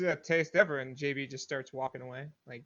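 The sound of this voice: Speaking at a fairly quick pace, a man uses a bright, sharp tone at medium pitch with fairly even intonation.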